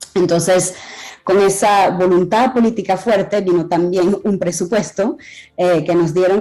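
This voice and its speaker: Her voice sits at a fairly low pitch with a dark, mellow tone. The woman speaks at a fairly slow pace. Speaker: AI health policy expert speaking at a conference. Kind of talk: conference talk. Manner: halting.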